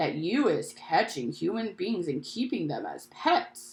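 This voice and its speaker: A female-sounding put-on character voice speaks fairly slowly at a fairly high pitch. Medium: read story.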